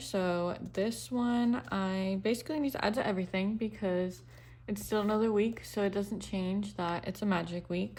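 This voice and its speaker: In an unremarkable speaking voice, a woman talks at a moderate pace with medium pitch and ordinary pitch variation. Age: 20s. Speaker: budgeting vlogger. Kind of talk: casual tutorial. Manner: casual, with fillers.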